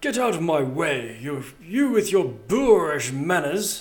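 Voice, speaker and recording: A man's put-on character voice, high for a man, at a fairly slow pace with audible echo. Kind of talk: refined, haughty. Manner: eloquent, projecting, enunciating every syllable.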